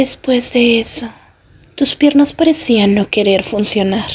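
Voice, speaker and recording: There is noticeable background noise as a woman speaks fairly slowly at a fairly high pitch with ordinary pitch variation. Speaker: ASMR roleplay fanfic narrator. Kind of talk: bedtime story telling, second-person fanfic roleplay narration. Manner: soft, slow, soothing ASMR whisper-like delivery.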